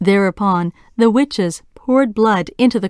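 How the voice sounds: A natural reading voice, pitch varying in an ordinary way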